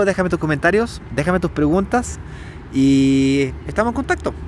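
With a Chilean accent, a man speaks at a moderate pace with lively intonation, the sound dry with no echo and light background noise. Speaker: entrepreneur video host. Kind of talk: casual interview. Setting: outdoors in a park. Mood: relaxed, friendly. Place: open country. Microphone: lapel.

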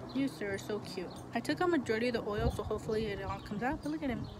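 Loud background noise fills the clip. A woman is speaking. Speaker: vlogger. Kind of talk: casual vlog chat. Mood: tender, slightly sad. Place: street. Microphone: phone near.

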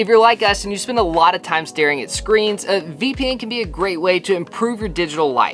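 Lively intonation from a man at a fairly quick pace, with light background noise. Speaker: travel vlogger. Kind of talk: sponsor read. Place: home room.

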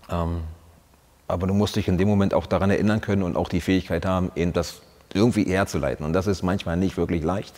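A man with a very deep, low pitch talks at a very fast pace, with fairly even intonation and very even loudness. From Brandenburg, eastern Germany. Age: 40s. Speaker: soldier, former paratrooper squad leader. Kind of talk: interview answer. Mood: reflective, earnest, personal. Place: studio. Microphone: lapel.

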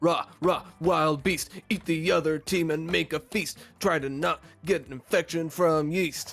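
Putting on a character voice, a man speaks at a moderate pace in a fairly high pitch. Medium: virtual streamer. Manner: peppy, cheerleading, sing-song.

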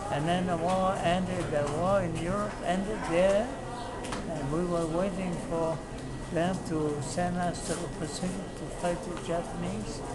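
A man speaking at a fairly slow pace over loud background noise. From Hawaii. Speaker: war veteran. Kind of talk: interview answer. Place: street. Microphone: phone near.

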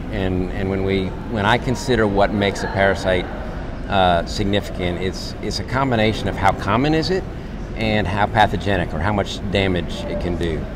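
A man speaks with ordinary pitch variation amid noticeable background noise. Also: moderate pace. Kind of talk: interview answer. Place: hall. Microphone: lapel.

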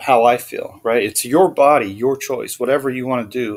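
A man with a medium-pitched voice speaks at a moderate pace with fairly even intonation. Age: 50s. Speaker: video blogger. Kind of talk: casual monologue. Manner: halting.

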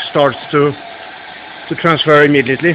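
Over light background noise, a man with a Swedish accent speaks in a monotone, flat intonation. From Sweden. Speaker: car mechanic / hobbyist. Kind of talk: technical demonstration to camera. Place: garage. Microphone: phone near.

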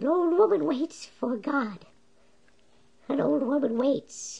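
At a fairly slow pace, the speaker uses a cartoonish character voice. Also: man, extremely high pitch for a man. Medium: puppet.

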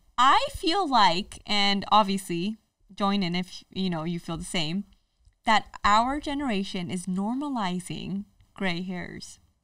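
Against a quiet background with a dry, echo-free sound, a woman speaks very slowly in a bright, sharp tone with lively intonation. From Indian heritage. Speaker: social media content creator; podcast guest. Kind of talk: casual chat. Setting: studio. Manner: animated. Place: studio. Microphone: studio mic.

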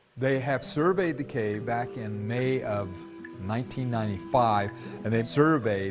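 Clear music in the background under a fairly slow pace. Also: man. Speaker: cave tour guide. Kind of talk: interview answer. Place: tunnel cave. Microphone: lapel.

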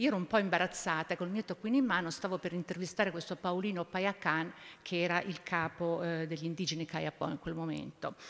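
The speech comes at a very fast pace with fairly even intonation. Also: woman, fairly low pitch for a woman. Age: 70s. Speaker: environmental activist, former politician; former politician. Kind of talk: panel talk. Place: hall. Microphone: podium.

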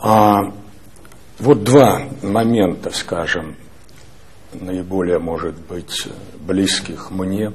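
A man with a fairly low pitch speaks very slowly, leaving long, frequent pauses. His loudness swings widely. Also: ordinary pitch variation. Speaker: newspaper editor; newspaper editor asking questions. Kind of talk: press interview. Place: office. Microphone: lapel.

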